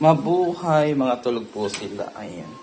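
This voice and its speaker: Speech at a very slow pace comes through over noticeable background noise. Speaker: vlogger. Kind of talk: casual vlog narration. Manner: animated.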